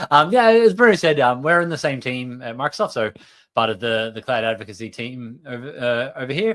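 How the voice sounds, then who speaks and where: In a very clean recording with a silent background, a man with an Australian accent speaks at a fairly quick pace, his pitch varying in an ordinary way while his loudness swings a lot. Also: medium pitch for a man. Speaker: software developer advocate. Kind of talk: tech livestream talk. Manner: hesitant, many fillers.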